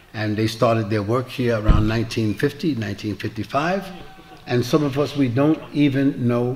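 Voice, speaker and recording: Over noticeable background noise, a man with an American accent speaks at a moderate pace, with medium pitch and ordinary pitch variation. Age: 70s. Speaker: Islamic preacher. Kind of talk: lecture with Q&A. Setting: mosque with audience.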